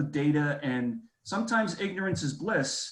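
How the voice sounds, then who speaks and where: Somewhat breathy, this voice with an American accent moves at a fairly slow pace. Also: man. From New York City (Bronx). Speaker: alumni event moderator. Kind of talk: panel discussion. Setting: video call.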